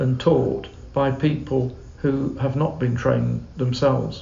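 Someone with a British accent speaks at a fairly slow pace. Noticeable background noise runs underneath. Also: man. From England. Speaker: Anglican canon and charity CEO. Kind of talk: casual interview chat. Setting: on location in Uganda.

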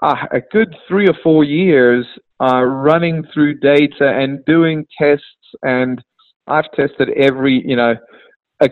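A man with a fairly high voice speaks very slowly, his intonation fairly even. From South Africa. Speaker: golf coach. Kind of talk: interview.

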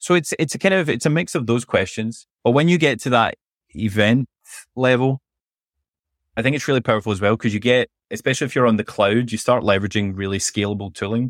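A man with a Scottish accent speaks very fast at medium pitch with lively intonation. The recording is very clean, the background silent. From Scotland; Glasgow. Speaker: MLOps head and author. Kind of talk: casual interview chat.

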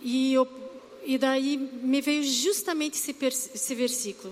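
At a moderate pace, a woman talks at a high pitch. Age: 40s. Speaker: church preacher. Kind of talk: sermon.

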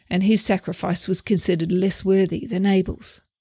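With a dark, mellow tone and a somewhat breathy quality, a woman talks at medium pitch in a very clean recording with a silent background. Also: dry, close sound with no echo. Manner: measured, steady, earnest; teacherly, reflective, formal.

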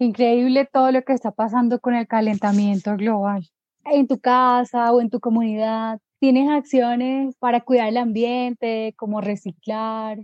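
A woman speaks at a fairly high pitch and a moderate pace, with hardly any pauses. Her intonation is monotone and flat. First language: Spanish (speaking German). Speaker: podcast host. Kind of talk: interview.

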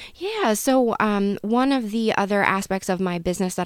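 In a plain, everyday voice, a woman speaks with an American accent at a medium pitch and a moderate pace. Her pitch variation is ordinary, and the sound is dry and close with no echo. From central Pennsylvania (Elizabethtown). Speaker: mural painter and small business owner. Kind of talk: casual interview.

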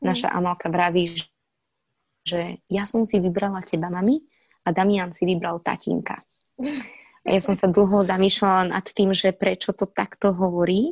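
A woman speaks in an ordinary speaking voice at medium pitch and a moderate pace, her intonation fairly even. The sound is dry and close, with no echo. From Slovakia. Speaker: actress. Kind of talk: interview. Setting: remote recording.

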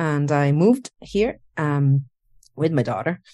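Against a quiet background, a woman speaks with a very deep, low pitch. Her pace is fairly slow. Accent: Italian. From Italy. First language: Italian. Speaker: animator. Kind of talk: interview. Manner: halting.

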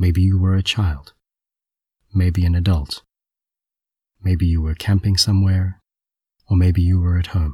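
A man's very deep, low voice, dark and mellow, with a gentle tone, somewhat breathy, in a monotone, flat delivery at a fairly slow pace, very even in loudness, with long, frequent pauses. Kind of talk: guided meditation. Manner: gentle, imaginative, hushed storytelling.

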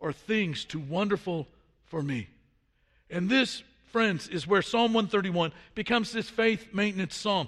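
At a moderate pace, a man talks in a high pitch with lively intonation. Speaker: preacher. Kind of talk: sermon. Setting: church. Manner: halting.

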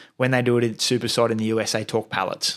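In an Australian accent, a man talks at a very fast pace. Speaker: turf company representative. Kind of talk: casual chat.

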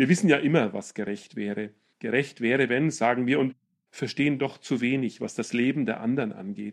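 This is a plain, everyday voice, a man's, at a medium pitch. He talks at a moderate pace with ordinary pitch variation. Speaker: preacher. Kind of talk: sermon. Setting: church. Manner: formal, solemn; rhetorical, building in rhythm with repeated questions.

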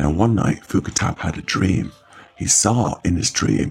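The clip consists of plain reading aloud.

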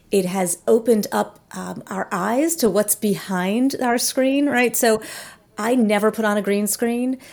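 A woman with an American accent talks in a plain, everyday voice at a fairly slow pace. Her fairly high pitch moves with ordinary variation. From New Jersey. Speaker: author and coach. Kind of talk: interview conversation.

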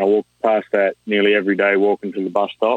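With an Australian accent, a man talks at a moderate pace in a fairly low pitch. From New South Wales, Australia. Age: 20s. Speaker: rig welder. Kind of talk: casual chat.

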